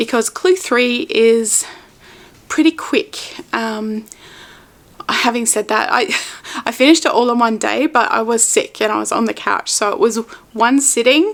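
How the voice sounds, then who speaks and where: Speaking with an Australian accent, a woman talks at a fairly slow pace with long, frequent pauses. Her high pitch carries lively intonation over noticeable background noise. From Australia, Melbourne. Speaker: knitting podcaster. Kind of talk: casual vlog chat. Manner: casual with fillers.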